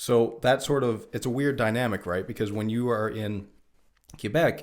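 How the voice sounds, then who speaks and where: Fairly even in intonation and moderate in pace, a man delivers his words in an ordinary speaking voice. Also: medium pitch for a man. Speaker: podcast host. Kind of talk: casual chat.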